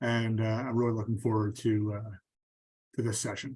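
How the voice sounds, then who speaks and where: Somewhat breathy and very fast, a man with a Philadelphia accent speaks at a medium pitch. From Philadelphia, US. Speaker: stadium security executive. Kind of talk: interview for a class.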